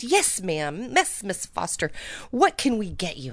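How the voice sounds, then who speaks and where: A put-on character voice unfolds at a moderate pace. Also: woman, medium pitch for a woman. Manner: polite, accommodating.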